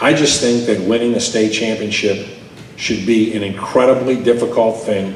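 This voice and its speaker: Fairly even intonation comes through noticeable background noise and audible room echo. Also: man. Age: 60s. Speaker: sports journalist. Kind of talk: speech with Q&A at a club luncheon. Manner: emphatic.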